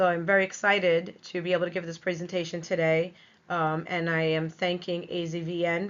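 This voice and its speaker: A woman with a New York accent speaks in a fairly low voice, her intonation flat and monotone. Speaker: veterinary technician. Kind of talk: webinar lecture.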